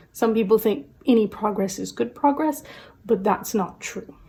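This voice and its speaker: Her voice is somewhat breathy, with a dark, mellow tone. The woman speaks at a moderate pace. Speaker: tarot reader. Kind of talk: tarot reading to camera. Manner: casual with fillers; quiet, soft-spoken.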